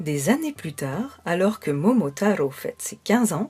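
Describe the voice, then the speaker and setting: With music in the background, the voice carries a calm, gentle tone at a fairly slow pace. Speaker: storyteller for children's relaxation stories. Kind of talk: soothing children's bedtime story narration. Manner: calm, gentle, soothing.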